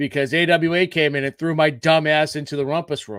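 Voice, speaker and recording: A man mumbles at a fairly quick pace in a fairly high pitch, with ordinary pitch variation and an animated tone. The recording is very clean with a silent background and a dry, close sound with no echo. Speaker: podcast co-host and chiropractor. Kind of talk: casual chat. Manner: mumbling.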